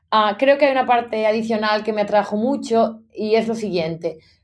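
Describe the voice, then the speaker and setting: On a very clean recording with a silent background, a woman with a plain, everyday voice speaks at a fairly slow pace with lively intonation. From Galicia, Spain (A Coruña province). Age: 30s. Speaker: marketing executive. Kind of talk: interview.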